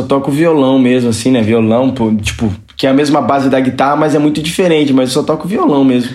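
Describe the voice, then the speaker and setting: Over noticeable background noise and audible room echo, a man speaks at a medium pitch and fairly quick pace, with hardly any pauses, very even loudness and ordinary pitch variation. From Brazil, Registro, Vale do Ribeira (São Paulo state). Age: 20s. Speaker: sertanejo singer. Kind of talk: casual chat.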